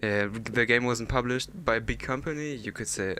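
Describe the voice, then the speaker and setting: A man with a German accent, his tone bright and sharp, at a moderate pace. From Germany. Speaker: gaming YouTuber. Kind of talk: casual commentary rant. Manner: halting, many fillers.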